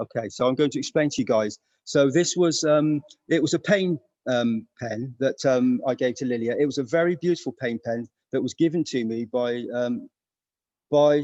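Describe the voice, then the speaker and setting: A dark, mellow tone in a British accent, moderate in pace, with ordinary pitch variation and a dry, close sound with no echo. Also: man, medium pitch for a man. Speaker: interviewer. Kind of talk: casual interview. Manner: hushed, keeping voice down; halting, many fillers.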